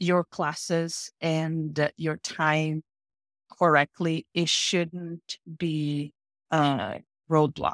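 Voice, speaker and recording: This woman talks at a very slow pace in a fairly low pitch, with a Brazilian accent. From northeast Brazil (Paraíba). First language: Portuguese. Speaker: mining engineer. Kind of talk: interview conversation.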